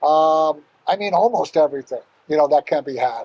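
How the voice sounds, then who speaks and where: A man with a fairly high pitch and a dark, mellow tone speaks at a fairly slow pace with fairly even intonation, the sound dry and close with no echo. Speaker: hospitality team leader. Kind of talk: casual podcast chat. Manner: hesitant, many fillers.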